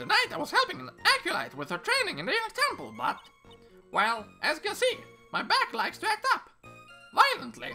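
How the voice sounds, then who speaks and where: With faint music in the background, a man uses a put-on character voice at an extremely high pitch, talking at a fairly quick pace broken by long, frequent pauses. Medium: game stream. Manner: chatty, playful.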